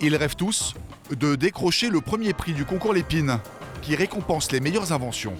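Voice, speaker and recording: A man speaks at a moderate pace in a fairly high pitch, his intonation lively, with music playing in the background. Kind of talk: documentary narration.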